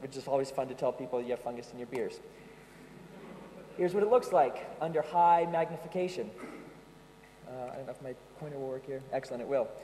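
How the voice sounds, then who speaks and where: A man with an American accent at a very fast pace and fairly high pitch, ordinary pitch variation, big swings in loudness, and long, frequent pauses. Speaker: yeast company tech support specialist, conference presenter. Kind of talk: conference presentation. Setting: stage with audience at a conference. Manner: casual, joking, with frequent um and uh fillers.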